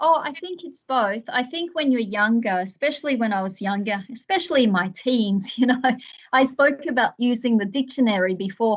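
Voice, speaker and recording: A woman with an Australian accent speaks at a moderate pace in a high-pitched voice with lively intonation. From Australia, Melbourne's western suburbs. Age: 40s. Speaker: author. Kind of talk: interview.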